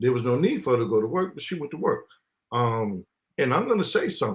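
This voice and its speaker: Talking at a very fast pace, a man with an American accent uses a fairly high, somewhat breathy voice with very wide pitch swings. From New York (Queens), summers in the US South. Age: 50s. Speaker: live stream guest, uniformed worker. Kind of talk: casual live stream discussion. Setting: live stream.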